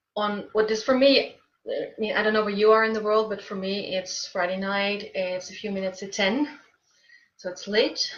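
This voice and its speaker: A woman's somewhat breathy, medium-pitched voice at a moderate pace, with fairly even intonation and big swings in loudness. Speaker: writing coach. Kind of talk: casual talk to camera, live stream. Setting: Facebook live video.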